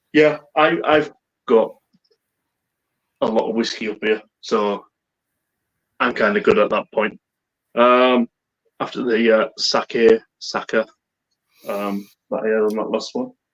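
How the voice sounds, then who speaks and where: With a Teesside accent, a man speaks at a fairly slow pace with long, frequent pauses, in a dry, close sound with no echo. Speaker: whisky and beer YouTuber. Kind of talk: casual chat. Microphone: bad internet connection, cutting out.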